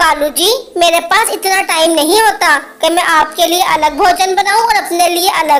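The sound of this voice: A female-sounding cartoonish character voice speaks at a moderate pace. The pitch is extremely high.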